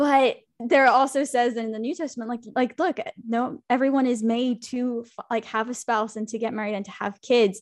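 A woman talks in a high pitch with fairly even intonation. The background is quiet. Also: moderate pace. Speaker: podcast co-host. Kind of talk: casual chat. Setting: video call.

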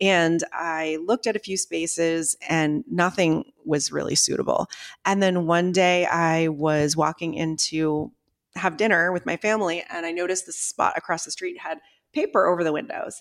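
In an American accent, a normal speaking voice moves at a moderate pace with ordinary pitch variation, its sound dry and close with no echo in a very clean recording with a silent background. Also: woman, fairly low pitch for a woman. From Maine, US. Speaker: fitness studio founder and author. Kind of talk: interview conversation.

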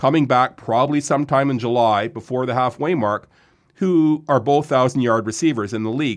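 Against a quiet background, a man with a Canadian accent uses an ordinary speaking voice at a medium pitch, with ordinary pitch variation and a fairly quick pace. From Ontario, Lindsay. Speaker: sports journalist. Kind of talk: casual chat. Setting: studio.

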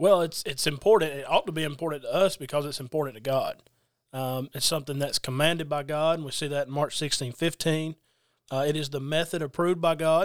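In a Southern US accent, a man talks at a very fast pace with a fairly high pitch and fairly even intonation. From US South, Georgia (Adairsville). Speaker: preacher. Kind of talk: casual religious discussion.

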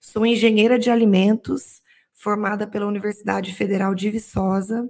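Her intonation flat and monotone, a woman talks at a moderate pace. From Minas Gerais, small town. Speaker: technical director. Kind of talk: interview.

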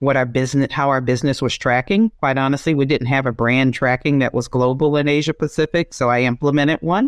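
A woman with an American accent speaks at a very deep, low pitch. Her pitch varies in an ordinary way, and the background is quiet. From US South, Georgia. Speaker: business executive. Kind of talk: casual interview conversation. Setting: remote call.

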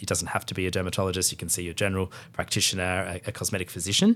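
In a very clean recording with a silent background, a man with an Australian accent talks very fast in a very deep, low voice. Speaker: dermatologist. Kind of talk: interview. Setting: hotel room at a conference.

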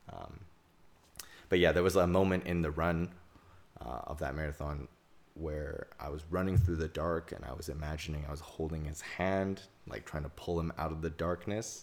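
A man's very deep, low voice with vocal fry, fairly even intonation and a moderate pace. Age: 20s. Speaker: guest, boyfriend, computer engineer. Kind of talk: casual chat.

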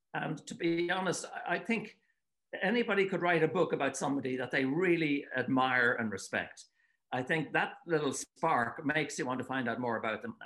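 A man with a Dublin accent speaks at a fairly quick pace. His fairly high voice carries lively intonation. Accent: Irish (Dublin). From Ireland, Dublin. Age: 70s. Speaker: author and retired water-ski commentator. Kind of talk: casual interview. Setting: remote call from home.

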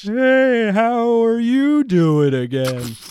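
A put-on character voice speaks at a fairly high pitch. Clear background noise runs underneath. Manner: cheerful, friendly, slightly dim.

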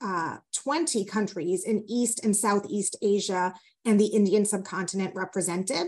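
On a very clean recording with a silent background, a woman talks at a moderate pace and a fairly high pitch in an ordinary speaking voice. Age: 40s. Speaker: diversity and inclusion strategist, lawyer. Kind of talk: interview conversation.

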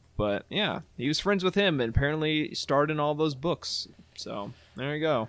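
A man talks at a moderate pace in a normal speaking voice, fairly high in pitch. His intonation is lively, and the recording is very clean with a silent background. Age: 20s. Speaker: podcast co-host and producer. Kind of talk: casual chat.

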